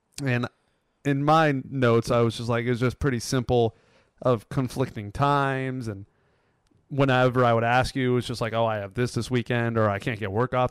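A man with an American accent speaks in an unremarkable speaking voice at medium pitch, moderate pace and fairly even intonation. The recording is very clean with a silent background, and the sound is dry and close with no echo. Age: 20s. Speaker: podcast host. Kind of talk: casual chat.

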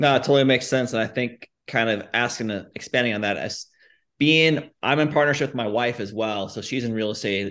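A man speaks in an ordinary speaking voice at a medium pitch. His pace is fairly quick, with ordinary pitch variation. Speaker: podcast co-host. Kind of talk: casual interview.

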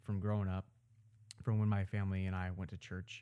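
In an American accent, a man with a fairly low pitch and a dark, mellow tone speaks at a moderate pace. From US Midwest (Omaha, Nebraska). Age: 20s. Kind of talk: personal testimony. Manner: casual, frequent filler words.

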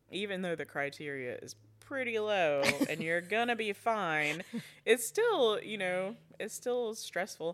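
Lively intonation and a fairly slow pace mark this voice with an Alabama accent. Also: woman, medium pitch for a woman. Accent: Southern US (Alabama). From rural Alabama. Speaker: foster and adoptive mother. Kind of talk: casual interview.

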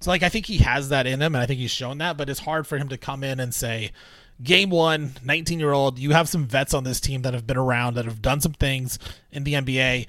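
A man with a normal speaking voice sits at a medium pitch. He talks at a fairly quick pace with ordinary pitch variation. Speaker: podcast host. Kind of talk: casual sports talk podcast.

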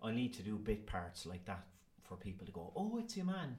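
A man speaks in a Cork accent, somewhat breathy. Room echo can be heard. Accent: Cork Irish. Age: 40s. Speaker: actor. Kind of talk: casual interview. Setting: school.

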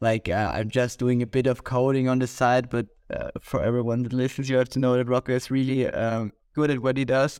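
The man's intonation stays monotone and flat. He keeps a moderate speed. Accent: Austrian. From Austria. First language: German. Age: 20s. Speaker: podcast co-host and university student. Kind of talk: casual chat.

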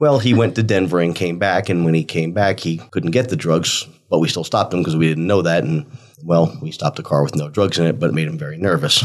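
A man with an American accent and a very deep, low pitch, at a fairly quick pace with ordinary pitch variation. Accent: New Jersey accent, stronger after drinks. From North Jersey, near New York City. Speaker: former detective turned real estate agent. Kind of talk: casual storytelling chat.

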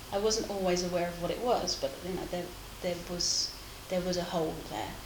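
A woman's fairly low voice with audible room echo and noticeable background noise. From England, Essex countryside. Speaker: craft community founder. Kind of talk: casual interview. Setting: at her home.

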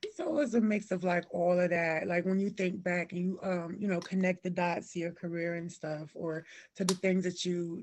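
A woman's plain, everyday voice with an American accent, fairly low in pitch, with fairly even intonation and a moderate pace. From Cleveland, Ohio, with years in Alabama and Georgia. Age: 30s. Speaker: fashion blogger and stylist. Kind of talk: casual interview chat.

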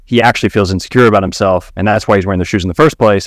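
On a very clean recording with a silent background and a dry, close sound with no echo, a man with a plain, everyday voice talks at a fairly low pitch with fairly even intonation. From Kentucky, US. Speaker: fitness coach and dietitian. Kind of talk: casual chat.

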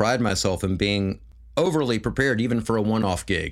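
A man with an American accent and an unremarkable speaking voice speaks at a fairly low pitch with ordinary pitch variation on a very clean recording with a silent background. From US South, Memphis, Tennessee. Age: 40s. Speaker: musician. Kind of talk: casual chat.

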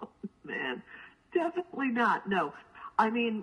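An unremarkable speaking voice from a woman, at a moderate pace with ordinary pitch variation. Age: 50s. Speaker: graphic memoir author. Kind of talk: interview.

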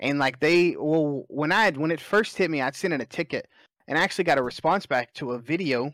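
A man with a Southern US accent speaks fairly quickly at fairly high pitch with ordinary pitch variation, in a very clean, dry, close recording with no echo and a silent background. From Alabama, US South. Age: 20s. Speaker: competitive gamer and streamer. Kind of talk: casual chat.

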